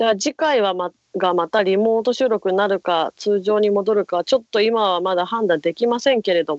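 With a normal speaking voice and medium pitch, a woman talks at a moderate pace. Her pitch variation is ordinary, and she hardly pauses. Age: 20s. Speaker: idol radio co-host. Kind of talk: casual chat. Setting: remote recording. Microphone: connection glitches in parts.

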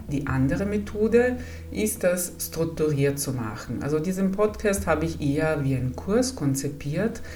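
Very deep, low pitch from a woman with an Italian accent, very wide pitch swings, noticeable background noise, and audible room echo. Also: moderate pace. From Italy. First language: Italian (speaking German). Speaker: psychologist. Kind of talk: podcast introduction monologue.

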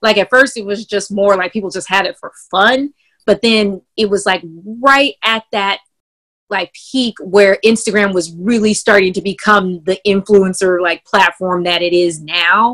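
A woman with an American accent, fairly slow delivery, a bright, sharp tone and a dry, close sound with no echo. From San Francisco, US West Coast. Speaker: clothing entrepreneur and artist. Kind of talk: interview.

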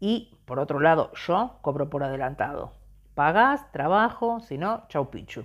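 A woman speaks with a very deep, low pitch and very wide pitch swings. The recording is very clean, with a silent background. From Argentina. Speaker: podcast host. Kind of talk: podcast monologue.

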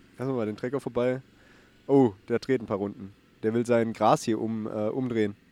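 A man speaks at a fairly quick pace in a medium pitch, his tone dark and mellow and his intonation flat and monotone. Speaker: podcast co-host. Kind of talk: casual chat. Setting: outdoors.

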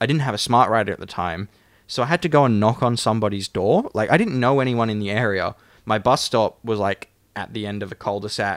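A man with an Australian accent talks at a fairly quick pace, with ordinary pitch variation. The recording is very clean, dry and close, with no echo and a silent background. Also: medium pitch for a man. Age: 20s. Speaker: podcast co-host. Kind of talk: casual chat.

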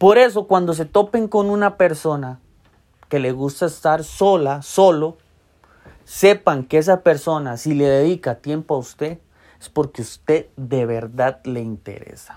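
A man with a Costa Rican accent talks at a fairly high pitch. His pace is fairly slow and his intonation lively. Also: big swings in loudness. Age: 30s. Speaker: podcaster. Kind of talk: casual monologue.

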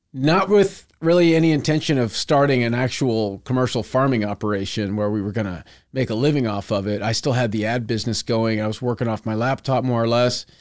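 A normal speaking voice with an American accent runs at a fairly quick pace with hardly any pauses and ordinary pitch variation, in a very clean recording with a silent background. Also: man, medium pitch for a man. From Texas, Houston suburbs. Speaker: farmer. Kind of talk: casual chat.

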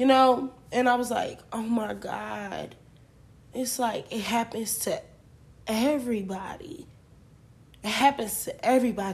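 This woman's high-pitched voice moves at a fairly slow pace with ordinary pitch variation and long, frequent pauses. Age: 20s. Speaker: podcast host. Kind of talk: casual solo monologue. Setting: at home late at night. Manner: animated.

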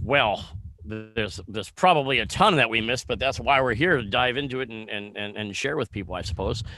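A man talks fairly quickly in a plain, everyday voice with an American accent, his medium pitch showing ordinary variation. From US Midwest, Kenosha, Wisconsin. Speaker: real estate agent. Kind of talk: casual interview.

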